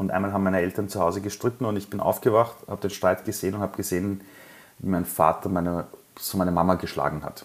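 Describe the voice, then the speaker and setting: The speech comes very fast in a flat monotone. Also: man. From Iran, raised in Austria (Vienna). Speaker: entrepreneur. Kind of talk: interview testimony.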